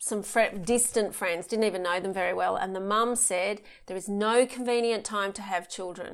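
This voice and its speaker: The recording is very clean with a silent background, carrying a woman's unremarkable speaking voice. Her pitch is medium, her intonation fairly even, and her pace moderate. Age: 40s. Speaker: author and speaker on childbirth. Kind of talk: interview.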